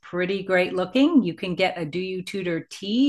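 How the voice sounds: What you hear is a natural reading voice.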